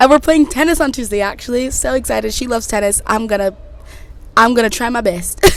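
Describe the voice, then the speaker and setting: A woman's high, animated voice with an American accent, ordinary pitch variation and a very fast pace. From Connecticut and Texas, US. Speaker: podcast host. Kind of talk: casual chat.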